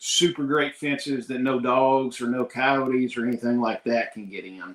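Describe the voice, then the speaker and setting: A man speaks at a fairly slow pace. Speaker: homesteader, livestock farmer. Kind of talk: casual chat. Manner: halting, with fillers.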